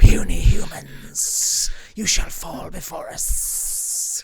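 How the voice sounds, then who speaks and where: At a very slow pace, a raspy, put-on character voice comes through. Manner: menacing.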